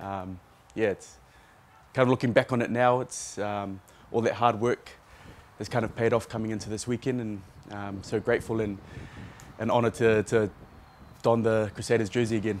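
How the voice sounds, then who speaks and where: A man with a New Zealand accent at medium pitch, in a monotone, flat intonation at a moderate pace, with long, frequent pauses and light background noise. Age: 30s. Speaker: rugby player. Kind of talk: press conference interview. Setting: media session. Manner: hesitant, many fillers. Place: stadium. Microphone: handheld.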